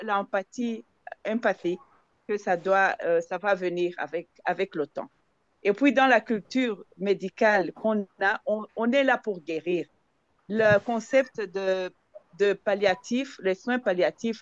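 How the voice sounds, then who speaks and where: At a very slow pace, a woman talks in a medium pitch with ordinary rise and fall, the sound dry and close with no echo. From Zambia. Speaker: palliative care participant. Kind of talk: discussion contribution in online session. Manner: halting, many hesitations and repetitions.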